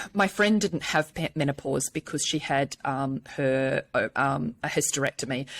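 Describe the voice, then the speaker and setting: Recorded dry and close with no echo, a woman with a New Zealand accent speaks at a very deep, low pitch. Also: ordinary pitch variation, moderate pace. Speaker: menopause speaker and personal trainer. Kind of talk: podcast interview.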